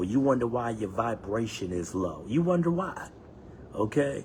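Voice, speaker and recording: A man with a fairly low pitch speaks in an animated tone at a moderate pace. Audible room echo fills the recording. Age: 60s. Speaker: podcast host. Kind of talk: motivational monologue.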